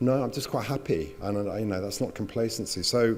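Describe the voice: A man's fairly low, slightly mellow voice at a fairly quick pace, with ordinary pitch variation.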